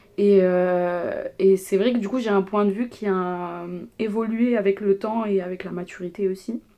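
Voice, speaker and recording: A woman at medium pitch speaks in a dark, mellow tone at a moderate pace. Her intonation is fairly even while her loudness swings widely. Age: 20s. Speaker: student. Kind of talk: casual chat. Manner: hesitant, many fillers.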